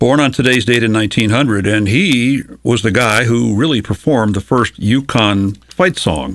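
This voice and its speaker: A man talks at a medium pitch in an unremarkable speaking voice. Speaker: radio host. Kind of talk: casual interview chat. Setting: radio studio.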